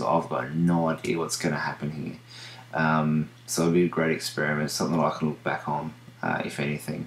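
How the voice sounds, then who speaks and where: This man's pitch is very deep and low, with fairly even intonation. He speaks at a moderate pace in an Australian accent. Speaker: video diarist with diabetes. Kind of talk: video diary. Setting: home at night. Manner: halting, many fillers.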